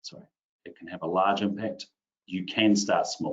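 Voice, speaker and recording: Here a man talks in a New Zealand accent. His pitch is fairly low and his pace moderate. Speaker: IT consultant presenter. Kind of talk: webinar tutorial. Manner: casual, filler-heavy.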